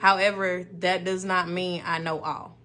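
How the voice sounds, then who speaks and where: With music in the background, a woman speaks fairly slowly in an American accent. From US South, Memphis, Tennessee. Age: 30s. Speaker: podcast host, therapist. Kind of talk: casual monologue podcast.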